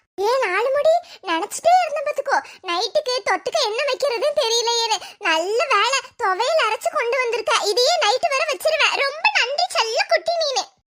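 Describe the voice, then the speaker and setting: A woman uses a cartoonish character voice at an extremely high pitch. Her intonation is lively and her pace fairly slow. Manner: chatty, blunt.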